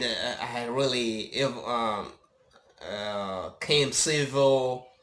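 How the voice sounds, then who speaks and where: A man at medium pitch speaks with fairly even intonation, and audible room echo is present. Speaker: YouTube commentator. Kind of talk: monologue commentary. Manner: halting, many fillers.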